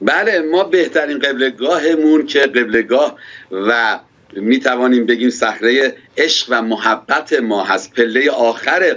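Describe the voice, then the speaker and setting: This man talks at a very slow pace with a medium pitch, very even loudness, and lively intonation. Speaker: pastor interviewed. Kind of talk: interview. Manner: formal. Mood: warm, smiling, animated. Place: office. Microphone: audio connection dropping out; webcam.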